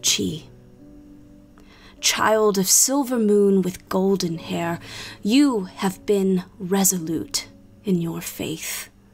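A woman puts on a booming character voice at a medium pitch with a solemn tone, speaking at a very slow pace with long, frequent pauses over faint music in the background. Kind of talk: epic fantasy oration. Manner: solemn, grave, prophetic.

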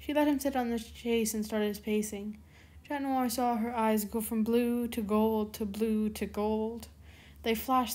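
Someone reads the text aloud in a natural voice, keeping the intonation fairly even.

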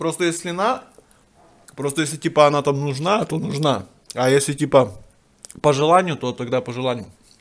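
This man's delivery is moderate in pace, with ordinary pitch variation, and the background is quiet. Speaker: home food vlogger. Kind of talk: casual vlog chat. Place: home room. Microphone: phone near.

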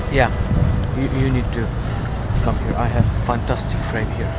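A man speaks in a dry sound with no echo. Clear music plays in the background. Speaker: travel photography vlogger. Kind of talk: casual vlog chat. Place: waterside. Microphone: phone near.

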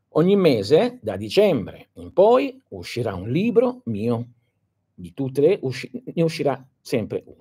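Against a quiet background, a man speaks at a very slow pace with a dark, mellow tone and vocal fry. His pitch swings very widely, and his loudness varies greatly. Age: 60s. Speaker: esoteric teacher. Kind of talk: live stream talk to followers. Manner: halting, many fillers. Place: home room. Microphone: phone near.

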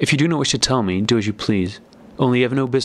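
The text is read aloud. The speaker uses a natural voice.

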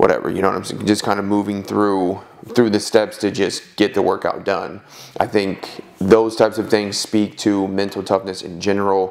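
A man speaks at a moderate pace and a fairly low pitch. His intonation is monotone and flat. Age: 20s. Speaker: strength and conditioning coach; podcast co-host, coach. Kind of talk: casual chat. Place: home room. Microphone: lapel.

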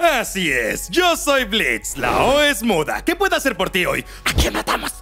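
A man speaks at a fairly slow pace in a cartoonish character voice with a Latin American accent, his pitch high and swinging very widely. The tone is bright and sharp, with faint music in the background.

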